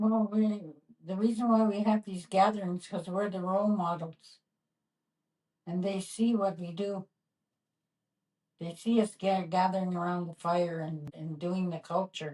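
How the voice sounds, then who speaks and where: This woman has a dark, mellow, somewhat breathy tone and a fairly even intonation. She talks at a fairly slow pace, leaving long pauses often. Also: medium pitch for a woman. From northern Ontario, Canada. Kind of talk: interview.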